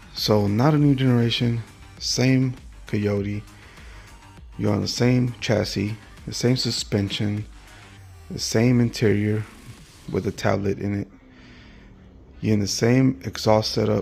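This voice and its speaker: Music plays behind a man with a fairly low pitch who speaks at a fairly slow pace, with long, frequent pauses and ordinary pitch variation. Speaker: car channel host. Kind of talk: casual rant. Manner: animated.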